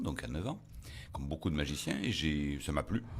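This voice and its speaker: Very deep and low, this man's voice carries vocal fry. Audible echo from the room surrounds it. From Provence, Toulon area. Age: 60s. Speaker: magician. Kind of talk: interview.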